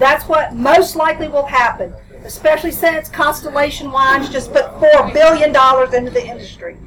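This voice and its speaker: Through noticeable background noise comes a woman's high-pitched voice, animated in tone, with ordinary pitch variation. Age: 60s. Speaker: hemp grower and processor. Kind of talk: panel discussion.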